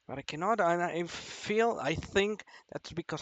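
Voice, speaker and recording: A man with a non-native accent, high in pitch, at a fairly slow pace with ordinary pitch variation. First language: not English. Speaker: vlogger. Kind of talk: personal confession monologue. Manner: halting.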